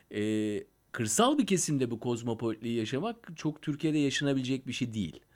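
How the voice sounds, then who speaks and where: The speaker has a normal speaking voice with lively intonation. The pace is fairly quick. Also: man, medium pitch for a man. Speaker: podcast host. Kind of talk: casual interview.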